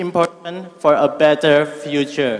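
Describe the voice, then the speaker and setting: A man with an Indonesian accent speaks at a very slow pace. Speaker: university student asking question. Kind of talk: audience question at conference. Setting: conference hall with audience. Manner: reading from phone.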